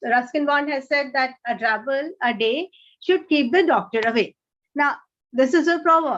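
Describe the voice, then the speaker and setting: A woman with an Indian accent at a moderate pace, her intonation lively, against a quiet background. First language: Hindi. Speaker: author. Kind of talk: interview.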